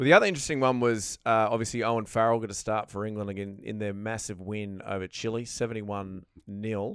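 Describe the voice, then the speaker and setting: A man with an Australian accent at a very fast pace with hardly any pauses, pitched fairly low, with fairly even intonation and big swings in loudness, on a very clean recording with a silent background. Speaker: podcast host. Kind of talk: casual banter. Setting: studio.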